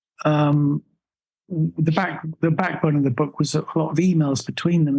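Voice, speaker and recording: At a fairly slow pace, a man speaks with a fairly high, somewhat breathy voice and fairly even intonation. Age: 70s. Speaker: author. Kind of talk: podcast interview. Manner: halting.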